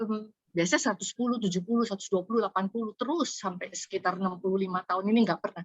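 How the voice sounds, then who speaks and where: The speaker is a woman with a somewhat breathy voice. Her pitch varies in an ordinary way. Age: 60s. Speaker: webinar participant asking question. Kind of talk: audience question. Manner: halting, many fillers.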